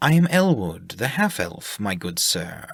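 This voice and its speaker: Using a put-on character voice of medium pitch, a man speaks at a fairly slow pace with very wide pitch swings. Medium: read story. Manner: smooth, silky.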